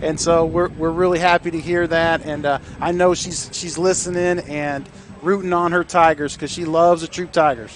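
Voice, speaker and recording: A man with an American accent speaks at a moderate pace in a high pitch for a man, his intonation monotone and flat. Noticeable background noise runs under the recording. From Northeast Ohio. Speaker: football coach, guest color commentator. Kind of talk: live sports broadcast chat.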